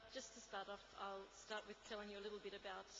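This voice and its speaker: Talking at a very fast pace, a woman with an Australian accent keeps a medium pitch and monotone, flat intonation. Noticeable background noise and audible room echo surround her. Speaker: conference speaker, UN trade law officer. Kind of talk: conference talk. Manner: halting, many fillers.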